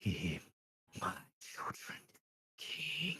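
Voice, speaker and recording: The voice is raspy. It is a put-on character voice. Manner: eerie, commanding.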